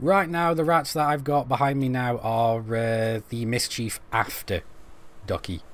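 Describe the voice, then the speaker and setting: Speaking with a Stoke accent at a fairly slow pace, a man uses a medium pitch and lively intonation. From England, Stoke-on-Trent. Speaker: gaming streamer. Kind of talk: live-stream gameplay commentary. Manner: casual, chatty; halting, stumbling over words.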